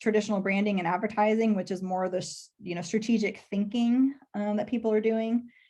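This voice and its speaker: With a slight Texas accent, a woman speaks at a medium pitch. Her pace is moderate and the background quiet. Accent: slight Texas twang. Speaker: public relations professional. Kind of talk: career talk to students.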